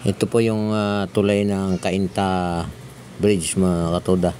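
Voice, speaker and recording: Over noticeable background noise, a man speaks at a very deep, low pitch with monotone, flat intonation. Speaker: vlogger. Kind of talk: vlog narration while riding. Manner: speaking louder than usual; hesitant, many fillers. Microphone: no external mic, viewers said too quiet.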